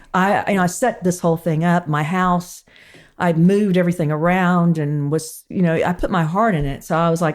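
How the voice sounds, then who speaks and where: A woman speaks at a moderate pace with an Alabama accent and a fairly low pitch. The recording is very clean, with a silent background. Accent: Southern US (Alabama). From US South, Huntsville, Alabama. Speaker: cooking and lifestyle expert. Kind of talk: casual chat. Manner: animated.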